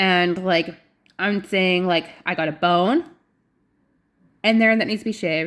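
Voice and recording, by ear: A woman speaks slowly with a fairly low pitch and a fairly bright tone. Her intonation is fairly even, and the recording is very clean with a silent background.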